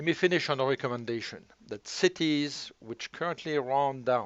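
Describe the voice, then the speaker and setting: A man speaks with a French accent. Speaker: local resident and policy analyst. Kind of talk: presentation. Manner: formal.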